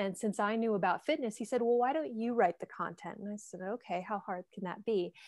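A woman's voice with ordinary pitch variation, in a very clean recording over a silent background. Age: 30s. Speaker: fitness trainer and writer. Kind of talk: casual interview.

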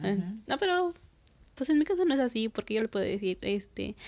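Against a quiet background, a woman talks in an ordinary speaking voice. Her pitch is fairly high and her intonation lively. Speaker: podcast host. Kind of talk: casual chat.

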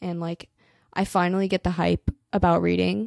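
A woman's fairly low voice with an American accent, dry and close with no echo, on a very clean recording with a silent background. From Colorado. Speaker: podcast host, college student. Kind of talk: casual monologue. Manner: animated.

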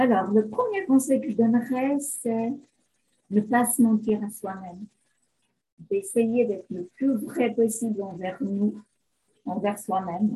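A woman speaks very slowly, with long, frequent pauses, at a fairly high pitch with ordinary variation. Her voice is somewhat breathy, with a dark, mellow tone. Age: 50s. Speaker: beautician, image consultant. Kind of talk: interview.

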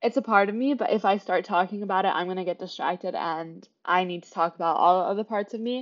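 Barely pausing, a woman with an American accent talks at a very fast pace. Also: medium pitch for a woman, ordinary pitch variation. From Kansas City, Kansas (US Midwest). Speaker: podcast host, student. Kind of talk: casual solo monologue. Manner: chatty, laughing often.

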